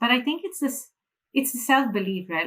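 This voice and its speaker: With a Malaysian accent, a woman talks using lively intonation. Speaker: financial freedom mentor. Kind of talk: interview.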